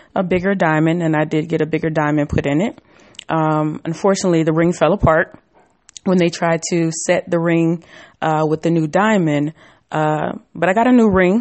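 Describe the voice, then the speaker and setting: A woman with a plain, everyday voice talks at a fairly quick pace, her fairly low pitch moving with ordinary variation and her loudness very even. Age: 30s. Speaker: podcast host. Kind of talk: casual chat.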